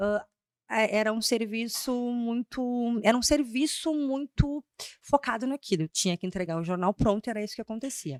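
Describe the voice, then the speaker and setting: A woman at a fairly high pitch and moderate pace, with lively intonation and a dry, close sound with no echo. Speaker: brand strategist and speaker. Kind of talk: podcast interview. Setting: studio. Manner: loud at times.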